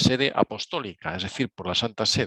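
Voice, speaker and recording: A man's medium-pitched voice, bright and sharp in tone, at a moderate pace, with a dry, close sound and no echo. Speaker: speaker on Claretian spirituality. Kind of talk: lecture. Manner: speeds up over time.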